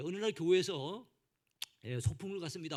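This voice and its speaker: A man with lively intonation in a Gangwon accent. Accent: mostly Gangwon. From South Korea, Gangwon Province. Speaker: pastor. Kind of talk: sermon. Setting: church.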